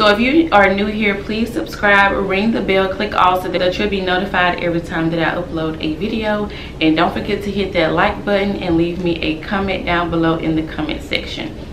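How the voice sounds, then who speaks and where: With noticeable background noise behind her, a woman talks at a fairly quick pace with hardly any pauses and ordinary pitch variation. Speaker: home decor vlogger. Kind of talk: casual vlog chat. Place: home room.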